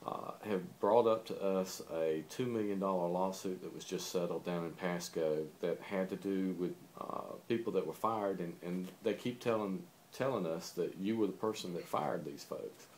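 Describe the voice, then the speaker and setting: A man in a Southern accent with a very deep, low pitch, a moderate pace and ordinary pitch variation. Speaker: interviewer. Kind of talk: interview.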